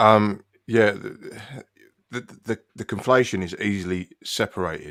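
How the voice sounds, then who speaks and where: Speaking at a fairly slow pace with long, frequent pauses, a man with a British accent uses a fairly low pitch and fairly even intonation, his loudness swinging widely in a dry, close sound with no echo. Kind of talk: heated debate.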